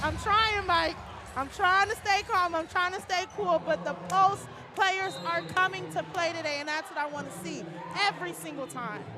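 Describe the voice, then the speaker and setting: Over noticeable background noise, a woman speaks at a moderate pace in an extremely high, raised and projected voice, animated in tone with ordinary pitch variation. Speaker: color commentator. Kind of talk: live commentary. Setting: gymnasium broadcast.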